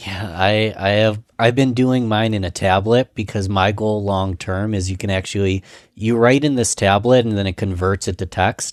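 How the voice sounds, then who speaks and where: In a very clean recording with a silent background and a dry, close sound with no echo, a man with an unremarkable speaking voice and a fairly low pitch talks at a moderate pace. His intonation is fairly even, and he makes hardly any pauses. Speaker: podcast host, marketer. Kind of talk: podcast host conversation.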